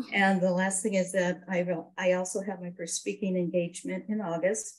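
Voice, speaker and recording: Somewhat breathy, a woman speaks at a moderate pace and medium pitch. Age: 60s. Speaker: network marketing business member. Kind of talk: interview.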